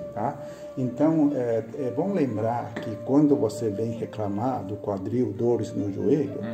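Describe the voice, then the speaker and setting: The speech moves at a very slow pace, with clear music playing in the background. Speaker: acupuncture therapist. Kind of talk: practitioner explaining a treatment session.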